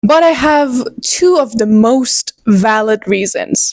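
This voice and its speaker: The speaker has a Persian accent and an animated tone with lively intonation. The sound is dry and close, with no echo. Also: woman. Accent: Persian (Iranian) accent in English. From Iran. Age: 20s. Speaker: book vlogger. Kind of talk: casual chat. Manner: halting.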